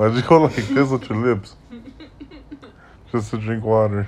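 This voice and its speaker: This man has a plain, everyday voice of medium pitch, speaking at a moderate pace with fairly even intonation. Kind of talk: casual voiceover commentary. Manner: joking, profane.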